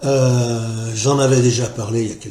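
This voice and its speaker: Audible room echo carries a man's somewhat breathy voice with a dark, mellow tone. He speaks at medium pitch and a very slow pace. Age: 60s. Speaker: political commentary vlogger. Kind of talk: casual monologue vlog. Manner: halting, many hesitations and repetitions.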